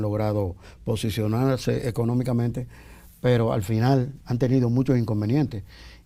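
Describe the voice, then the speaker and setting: A man with a Dominican accent speaks fairly slowly at a medium pitch, his tone dark and mellow. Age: 60s. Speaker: singer-songwriter and backing vocalist. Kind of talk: interview. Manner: halting.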